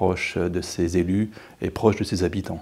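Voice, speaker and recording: Speaking at a fairly slow pace, a man with a fairly low voice delivers his words in a flat monotone. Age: 60s. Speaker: lawyer and local politician, election candidate; lawyer, local politician, election candidate. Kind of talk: campaign interview. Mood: calm, warm, confident. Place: studio.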